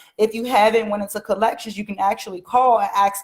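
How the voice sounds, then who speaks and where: Somewhat breathy, the voice has an American accent and a very fast pace. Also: woman. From Washington DC. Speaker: mortgage educator, livestream host. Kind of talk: live stream talk to viewers. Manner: animated.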